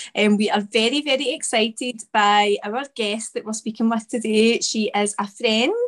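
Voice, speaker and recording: A normal speaking voice moves at a moderate pace, its pitch varying in an ordinary way. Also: woman. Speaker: podcast host. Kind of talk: podcast intro.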